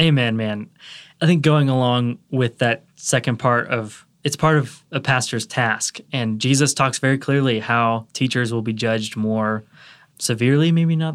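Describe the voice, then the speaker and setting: An unremarkable speaking voice with an American accent moves at a fairly slow pace and fairly even intonation. The recording is very clean, with a silent background. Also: man, medium pitch for a man. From US South, Atlanta, Georgia. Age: 20s. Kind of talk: casual chat.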